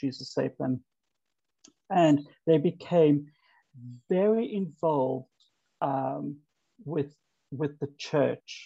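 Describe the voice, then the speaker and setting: A man with a fairly high pitch and a dark, mellow tone speaks at a very slow pace with long, frequent pauses. His voice is somewhat breathy, with ordinary pitch variation. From South Africa, Cape Town. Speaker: conversion therapy survivor. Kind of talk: personal testimony.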